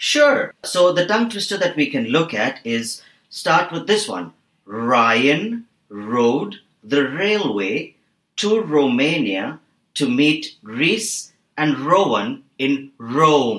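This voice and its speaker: Speaking very slowly, a man lets his pitch swing very widely. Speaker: voice and accent trainer. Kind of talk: accent lesson explanation on podcast.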